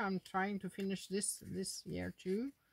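At a fairly slow pace, a woman with a medium pitch speaks in a Norwegian accent. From Norway. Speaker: adult coloring YouTuber. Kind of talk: casual monologue showing finished coloring pages. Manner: halting, with frequent fillers. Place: home room. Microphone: phone near.

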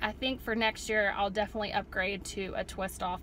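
Over light background noise, a woman talks at a moderate pace in a dry sound with no echo. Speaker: mother vlogger. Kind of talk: casual vlog chat. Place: car. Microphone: phone near.

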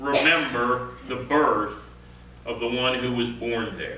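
A man speaks slowly in a bright, sharp tone, with strong echo from the room.

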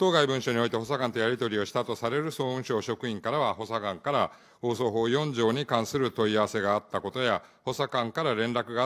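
Over a quiet background, a man talks very fast with ordinary pitch variation. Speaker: cabinet minister. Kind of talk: parliamentary answer. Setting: parliament committee room. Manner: formal. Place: hall. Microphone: podium.

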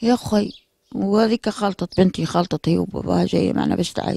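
Recorded in a dry, close sound without any echo, a woman talks at a moderate speed. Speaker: bereaved mother. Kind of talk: testimony.

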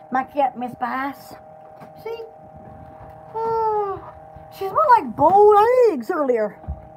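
A woman speaks in a high voice very slowly, with long, frequent pauses and faint music in the background. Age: young. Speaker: livestreamer and small shop owner; vlogger. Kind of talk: casual live stream chat. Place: home room. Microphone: phone near.

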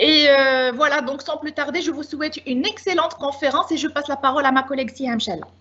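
A woman's high-pitched voice at a very fast pace, with hardly any pauses and ordinary pitch variation. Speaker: campus director. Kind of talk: formal introduction. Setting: video call. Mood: warm, welcoming. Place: home room. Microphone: video call.

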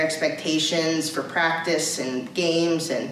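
A woman speaks at a fairly low pitch. Audible room echo and light background noise accompany her. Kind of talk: informational briefing. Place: office. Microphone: camera far.

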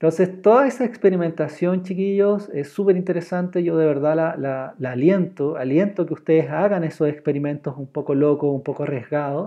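Here a man speaks with a high pitch and ordinary pitch variation. His pace is moderate, and the background is quiet. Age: 30s. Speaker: drawing teacher. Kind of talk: online class. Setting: live stream. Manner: animated. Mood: warm, encouraging. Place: home room. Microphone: earbuds.

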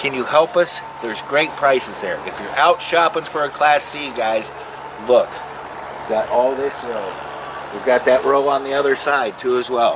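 Noticeable background noise sits behind a man with a fairly high pitch and an upbeat tone. He talks at a fairly slow pace with ordinary pitch variation. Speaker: RV salesman. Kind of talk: sales pitch, pitchman-style dealership lot promo. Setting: outdoors on dealership lot. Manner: animated; salesy, upbeat, direct-address patter. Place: open country.

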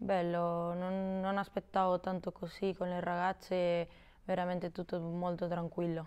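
Her intonation monotone and flat, a woman speaks at a fairly low pitch and a fairly slow pace. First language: Spanish (speaking Italian). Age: 20s. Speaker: footballer. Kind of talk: interview. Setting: studio. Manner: halting. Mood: calm, somewhat shy. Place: studio. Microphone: lapel.

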